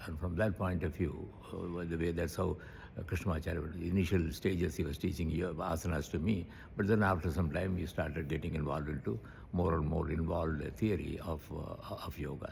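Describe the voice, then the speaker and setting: Somewhat breathy and very deep in pitch, a man talks at a fairly quick pace with fairly even intonation. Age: 80s+. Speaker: yoga teacher. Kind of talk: interview answer.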